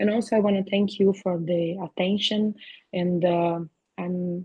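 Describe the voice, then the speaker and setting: A woman speaks at a fairly slow pace in a Brazilian accent, her somewhat breathy voice flat and monotone. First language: Portuguese. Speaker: veterinary professor and researcher. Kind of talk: academic seminar talk. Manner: halting, many fillers.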